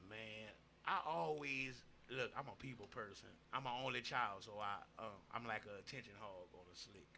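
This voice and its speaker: In a Louisiana accent, a man speaks with a fairly low pitch and ordinary pitch variation. His tone is bright and sharp, and his loudness swings a lot. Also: moderate pace. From Louisiana, Opelousas (Cajun Creole area). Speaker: rapper and host. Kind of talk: casual podcast interview.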